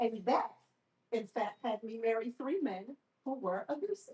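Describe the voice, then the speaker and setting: With an American accent, a woman speaks in an unremarkable speaking voice with ordinary pitch variation. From Baltimore, Maryland. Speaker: survivor speaker and therapist. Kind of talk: testimony. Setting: live event with audience.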